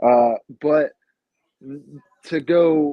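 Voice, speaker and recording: Mumbling, a man talks with ordinary pitch variation. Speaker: podcast co-host. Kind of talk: casual chat.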